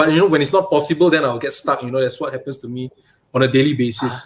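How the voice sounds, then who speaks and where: A man talks at a very fast pace. His pitch shows ordinary variation. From Malaysia. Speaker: toy photographer and diorama maker. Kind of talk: interview.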